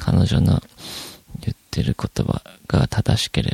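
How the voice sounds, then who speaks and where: A man's relaxed tone, with a dry, close sound and no echo, under noticeable background noise. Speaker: podcast host. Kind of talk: solo casual monologue. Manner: relaxed, many fillers.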